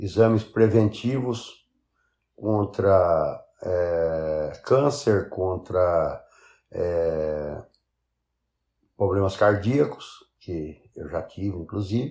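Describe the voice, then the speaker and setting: A man speaks very slowly in a fairly low, somewhat breathy voice with a dark, mellow tone. The recording is very clean, with a silent background. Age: 60s. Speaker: biologist, interviewee. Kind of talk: recorded testimony.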